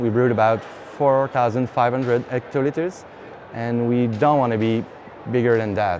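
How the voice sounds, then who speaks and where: A man talks at a fairly slow pace with very even loudness and fairly even intonation. Light background noise can be heard. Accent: French. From Quebec, Canada. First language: French. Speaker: brewery founder. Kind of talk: interview, casual talk about own business. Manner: halting, many fillers. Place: hall. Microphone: lapel.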